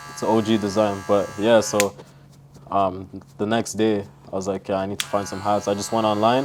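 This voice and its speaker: Over noticeable background noise, a man speaks at a fairly quick pace. His pitch is fairly low and his intonation fairly even. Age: 20s. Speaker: young entrepreneur. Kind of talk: casual interview. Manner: casual, filler-heavy.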